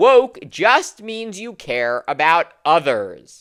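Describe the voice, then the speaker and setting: A woman with vocal fry and a bright, sharp tone speaks at a very slow pace in a very clean recording with a silent background. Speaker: political commentator. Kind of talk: political commentary to camera.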